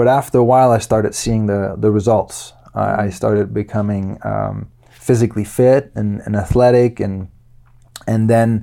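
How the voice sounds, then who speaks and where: In a Danish accent, the speaker uses a dark, mellow tone and fairly even intonation at a moderate pace. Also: man. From Denmark and Luxembourg. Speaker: qigong teacher and personal trainer. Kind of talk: interview. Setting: studio.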